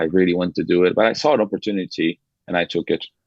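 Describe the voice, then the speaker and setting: With a Brazilian accent, a man speaks at a fairly quick pace in a very deep, low pitch with ordinary pitch variation. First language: Portuguese. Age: 20s. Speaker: podcast guest, former college soccer player. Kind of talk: casual interview chat. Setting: podcast studio. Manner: halting, frequent repetitions.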